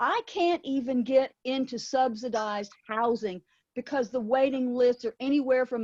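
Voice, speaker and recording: Over a quiet background, a woman speaks with a high pitch at a fairly slow pace. The sound is dry and close with no echo. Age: 70s. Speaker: party member asking a question. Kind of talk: audience question. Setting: video call.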